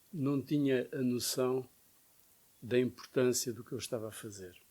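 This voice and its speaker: A man speaks at a moderate pace and a medium pitch, his pitch varying in an ordinary way. His tone is dark and mellow, and the recording is very clean with a silent background. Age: 70s. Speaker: photojournalist. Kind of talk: interview.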